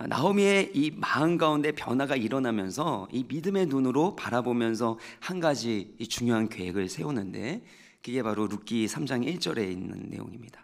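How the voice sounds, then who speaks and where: Against a quiet background, a man speaks at a moderate pace and hardly pauses. His medium-pitched voice swings very widely in pitch. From South Korea. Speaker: pastor. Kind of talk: sermon. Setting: church. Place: church. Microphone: podium.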